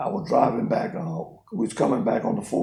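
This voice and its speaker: A man talks at a fairly quick pace. Noticeable background noise and audible room echo surround him. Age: 60s. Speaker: businessman. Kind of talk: interview.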